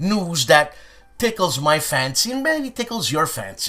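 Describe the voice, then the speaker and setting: A man with a Montreal accent, high-pitched, bright and sharp, animated, with very wide pitch swings and a fairly slow pace. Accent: Montreal Canadian English. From Canada, Montreal, Quebec. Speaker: pipe and tobacco news vlogger. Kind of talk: casual vlog monologue. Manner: animated, hyperactive; stuttering, halting.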